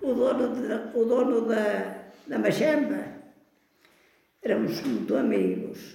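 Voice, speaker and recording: Speaking at a very slow pace with long, frequent pauses, a woman uses a fairly high voice with ordinary pitch variation. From Portugal, Canas de Senhorim (Beira Alta). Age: 80s+. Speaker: grandmother sharing life memories. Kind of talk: oral history interview. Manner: halting, repetitive.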